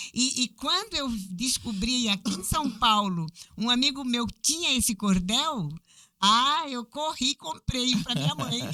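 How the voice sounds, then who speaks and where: A woman speaks at a fairly slow pace in a high voice. Her pitch swings very widely. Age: 60s. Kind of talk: podcast interview.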